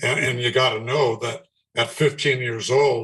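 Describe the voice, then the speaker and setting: A man with an American accent and a plain, everyday voice speaks at a medium pitch and a fairly slow pace. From Southern California. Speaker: singer. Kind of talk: interview answer.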